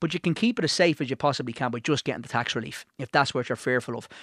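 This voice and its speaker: Very fast speech from a man, fairly high-pitched with lively intonation. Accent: Irish. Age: 40s. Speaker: financial adviser and author. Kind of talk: radio interview.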